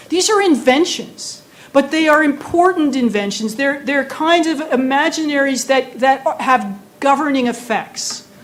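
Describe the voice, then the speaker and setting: In an American accent, a woman speaks in an animated tone at a fairly slow pace and high pitch, with ordinary pitch variation, hardly any pauses, audible room echo and noticeable background noise. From United States. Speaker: professor. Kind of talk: lecture. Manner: animated, conversational with many fillers.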